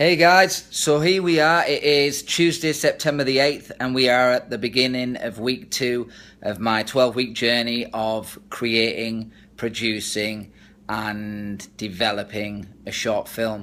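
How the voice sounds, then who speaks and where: A man with an English accent speaks at a fairly slow pace in a bright, sharp tone, his pitch varying in an ordinary way. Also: medium pitch for a man. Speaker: actor and filmmaker. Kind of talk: casual video diary to camera. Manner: pausing and stuttering.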